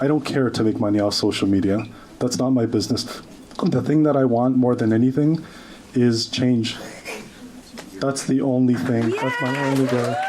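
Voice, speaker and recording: A man with a non-native accent talks at a moderate pace in a medium pitch, with fairly even intonation and very even loudness. His long, frequent pauses sit amid audible room echo and noticeable background noise. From grew up in Oakville, Ontario, Canada; refugee immigrant. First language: not English. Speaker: social media commentator. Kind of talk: rally speech. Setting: stage with audience.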